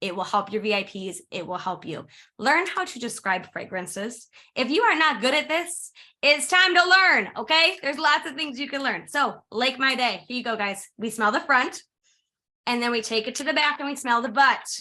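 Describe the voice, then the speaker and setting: Raised and projected, a woman's high, bright, sharp voice carries an animated tone and very wide pitch swings at a moderate pace, captured on a very clean recording with a silent background. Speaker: direct sales consultant. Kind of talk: training presentation. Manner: loud.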